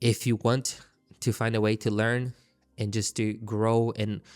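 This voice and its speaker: A man with a non-native accent and a fairly low pitch in monotone, flat intonation, on a very clean recording with a silent background. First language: not English. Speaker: trading YouTuber. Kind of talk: casual monologue to camera. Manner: halting, frequent self-repetition; unscripted, conversational.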